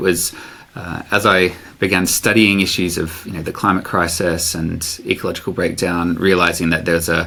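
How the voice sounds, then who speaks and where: Amid noticeable background noise, a man with a very deep, low pitch talks at a fairly quick pace in a monotone, flat intonation. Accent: Australian. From Australia, Sydney. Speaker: professor. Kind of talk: podcast interview. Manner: hesitant, many fillers.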